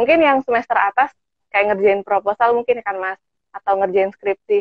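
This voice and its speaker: A woman with a plain, everyday voice speaks at a moderate pace and medium pitch. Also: ordinary pitch variation. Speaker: student moderator. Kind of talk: casual online talk. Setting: video call.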